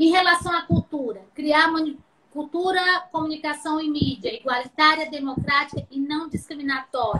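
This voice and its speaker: A woman projects a raised, high-pitched voice with a bright, sharp tone. She keeps a moderate pace and ordinary pitch variation. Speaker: professor. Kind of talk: lecture. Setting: video call.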